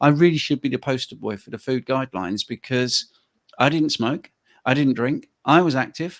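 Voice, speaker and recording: Heard in a very clean recording with a silent background and a dry, close sound with no echo, a man with a British accent talks at a moderate pace and medium pitch. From UK. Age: 60s. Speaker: health coach. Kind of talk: interview conversation.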